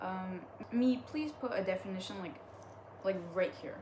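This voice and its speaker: A woman's medium-pitched voice with lively intonation at a fairly quick pace, amid noticeable background noise and audible room echo. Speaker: online content creator reading stories. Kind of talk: casual reading aloud with commentary. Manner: halting, stumbling over words; animated.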